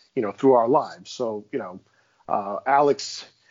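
A man's ordinary speaking voice at a medium pitch, with an American accent and a fairly quick pace. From Queens, New York. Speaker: Patreon fan, podcast roundtable guest. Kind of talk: casual chat about a TV show.

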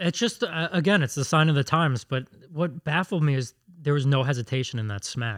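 Lively in intonation and fairly quick, a man with a fairly high pitch speaks in an unremarkable speaking voice. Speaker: producer reading listener questions.

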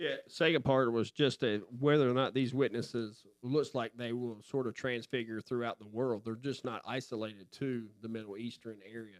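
A man with an unremarkable speaking voice talks at a medium pitch and moderate pace, with fairly even intonation and hardly any pauses. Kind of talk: Bible study discussion, asking questions.

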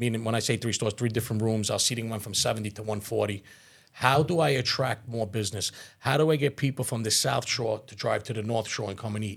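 A man talks at a very fast pace in a somewhat breathy voice of medium pitch, with ordinary pitch variation, on a very clean recording with a silent background. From Staten Island, New York (born in Calabria, Italy). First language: Italian. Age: 40s. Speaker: restaurant owner. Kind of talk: podcast interview.

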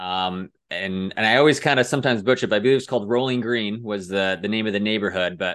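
The speaker is a man with an American accent. His pitch sits fairly low. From US Midwest (Cedar Rapids, Iowa). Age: 30s. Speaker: author. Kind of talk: casual chat.

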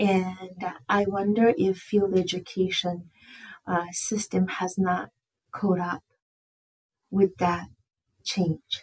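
A woman with a medium pitch, somewhat breathy, in a flat monotone at a very slow pace with long, frequent pauses. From Japan, Tokyo. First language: Japanese. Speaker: director of field education in social work. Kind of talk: casual interview.

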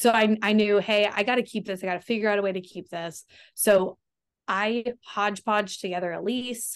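A woman in an ordinary speaking voice, medium in pitch, at a moderate pace with fairly even intonation, in a very clean recording with a silent background. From Texas, Austin. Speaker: real estate investor. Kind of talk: interview.

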